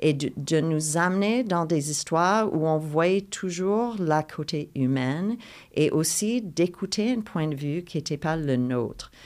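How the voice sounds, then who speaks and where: In a very clean recording with a silent background, a speaker with an English accent talks at a very slow pace with lively intonation. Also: woman, fairly low pitch for a woman. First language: English (speaking French). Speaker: playwright. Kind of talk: interview conversation. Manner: halting with repetitions.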